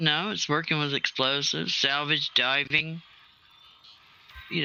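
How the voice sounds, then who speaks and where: A man with a fairly high pitch and an American accent, fairly even intonation, and noticeable background noise. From US Southwest, New Mexico. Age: 60s. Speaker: retired salvage diver, gaming stream participant. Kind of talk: casual chat.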